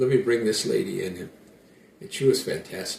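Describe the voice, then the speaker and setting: Speaking at a fairly quick pace with an American accent, a man has a medium pitch, a somewhat breathy, dark, mellow tone and ordinary pitch variation. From United States. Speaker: musician. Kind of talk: interview. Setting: at his home. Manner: halting.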